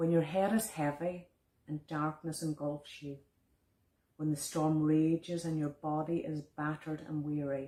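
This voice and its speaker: A woman speaks with a Donegal accent in a very deep, low voice, her dark, mellow tone moving at a fairly slow pace with monotone, flat intonation. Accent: Donegal Irish. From Ireland, County Donegal. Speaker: visual artist and poet. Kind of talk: poetry reading.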